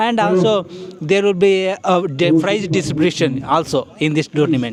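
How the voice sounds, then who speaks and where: A high-pitched man at a moderate pace, with ordinary pitch variation, very even loudness and noticeable background noise. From India. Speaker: vlogger. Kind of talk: interviewer questions.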